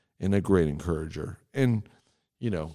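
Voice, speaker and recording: The voice has a dark, mellow tone and lively intonation, with an American accent at a moderate pace. The recording is very clean, with a silent background. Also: man. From Texas. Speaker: church podcast host, pastor. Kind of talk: casual chat about scripture.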